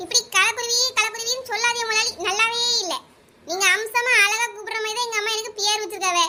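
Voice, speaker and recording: A woman's cartoonish character voice at an extremely high pitch, monotone and flat in intonation, at a moderate pace. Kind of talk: comic overacting. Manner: chatty, boastful.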